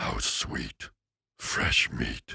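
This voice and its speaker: A man puts on a character voice. It sounds raspy. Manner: menacing, gleeful, predatory.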